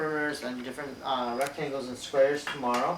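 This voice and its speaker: A man's fairly high voice keeps a moderate pace and fairly even intonation, with audible room echo and noticeable background noise around it. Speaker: elementary school teacher. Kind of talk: recorded math lesson for students.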